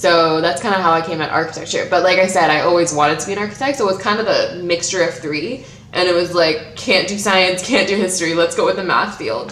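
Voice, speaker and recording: A woman talks at a very fast pace with hardly any pauses, her medium pitch carrying ordinary pitch variation over audible room echo and noticeable background noise. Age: 20s. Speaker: YouTuber. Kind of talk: casual vlog talk. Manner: babbling.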